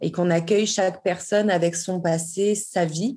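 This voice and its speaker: A woman with an ordinary speaking voice at a moderate pace and fairly even intonation, on a very clean recording with a silent background. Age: 30s. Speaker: yoga teacher and dancer. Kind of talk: interview.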